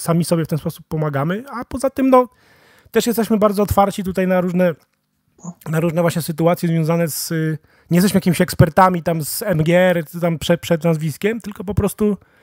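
Here a man talks at a fairly quick pace with a high pitch and ordinary pitch variation. The sound is dry and close, with no echo. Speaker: podcast host. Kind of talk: casual interview. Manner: casual, colloquial.

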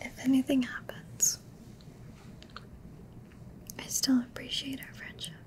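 A soft-spoken woman whispers at a fairly slow pace. Light background noise can be heard. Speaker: roleplay creator. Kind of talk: intimate roleplay chat to viewer. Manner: soft intimate ASMR whisper. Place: home room.

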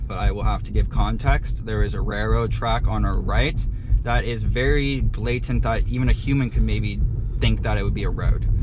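A man speaks at a moderate pace. There is noticeable background noise, and the sound is dry with no echo. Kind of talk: commentary. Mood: explanatory, slightly apologetic. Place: car.

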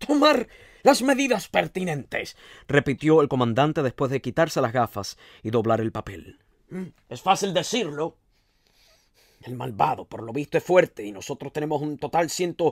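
On a very clean recording with a silent background and a dry, close sound with no echo, a man with a fairly high voice talks at a moderate pace, with very wide pitch swings and big swings in loudness. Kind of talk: literary audiobook reading, with a conversational intro and recap. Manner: measured storyteller's pace, shifting to dramatic, emotive delivery in dialogue.

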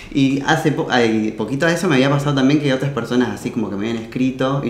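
A man talking at a very fast pace, with light background noise and audible room echo. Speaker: interviewee. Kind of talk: interview answer. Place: home room.

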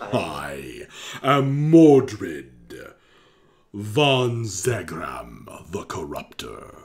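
A man's put-on character voice at medium pitch, very slow in pace, with long, frequent pauses. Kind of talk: theatrical villain voice. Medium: actual play. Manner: grandiose, menacing, then pleading.

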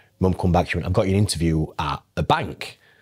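Against a quiet background, a man with a Yorkshire accent speaks. His voice is very deep and low, with a dark, mellow tone. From northern England. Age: 30s. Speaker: financial advisor. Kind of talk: casual chat. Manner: animated. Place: meeting room. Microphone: lapel.

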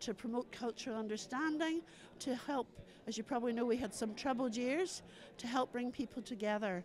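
A woman with a Northern Irish accent, high in pitch and fairly quick, over light background noise. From Northern Ireland. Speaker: storyteller. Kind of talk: interview answer. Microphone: handheld.

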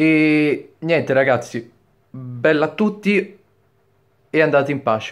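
Against a quiet background, a man talks at a very slow pace with long, frequent pauses, a fairly high pitch and ordinary pitch variation. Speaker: youtuber; vlogger. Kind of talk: opinion vlog. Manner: halting, stammering; hesitant, many fillers. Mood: indignant, earnest. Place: home room. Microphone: webcam.

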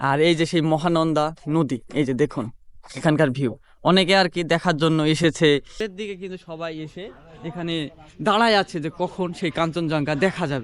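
Fairly high-pitched man's voice with ordinary pitch variation, over a quiet background. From Bangladesh. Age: 20s. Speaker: travel vlogger. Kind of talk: travel vlog narration. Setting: outdoors, in an auto-rickshaw. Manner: animated.

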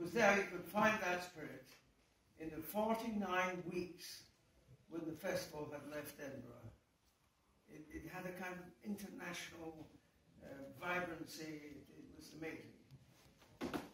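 Amid audible room echo and light background noise, a man speaks at a fairly slow pace and a high pitch, with ordinary pitch variation, big swings in loudness and long, frequent pauses. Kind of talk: speech to audience, personal reminiscence. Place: hall. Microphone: camera far.

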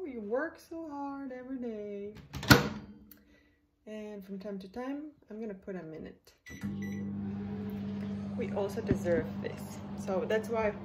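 A woman talks at a fairly slow pace, with long, frequent pauses, as loud background noise fills the clip. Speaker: home cooking vlogger. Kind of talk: casual vlog chat. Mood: relaxed, warm, self-care talk. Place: kitchen. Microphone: phone near.

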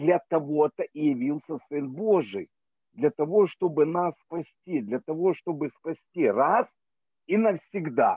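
A man speaking very slowly with lively intonation, dry with no echo, over a quiet background. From Ukraine. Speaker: church member. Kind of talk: testimony. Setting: video call. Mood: earnest, grateful. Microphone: video call.

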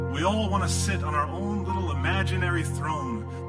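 The speaker is a man talking at a moderate pace. Loud background noise is present. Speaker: spoken word poet. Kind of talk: live spoken word poetry performance. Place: stage.

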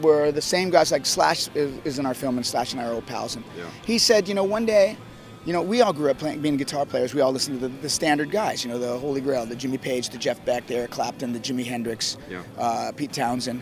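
Over faint music in the background, a man talks at a fairly quick pace in a dry sound with no echo. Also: hardly any pauses. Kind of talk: interview answer. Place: street. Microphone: handheld.

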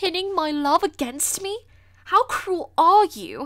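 Putting on a character voice in a British accent, a female-sounding speaker talks at a fairly slow pace at an extremely high pitch. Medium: dub. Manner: angry, slurred.

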